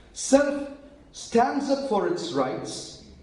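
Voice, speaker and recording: Over noticeable background noise and audible room echo, a man speaks very slowly in an extremely high pitch. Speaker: preacher. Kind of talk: sermon.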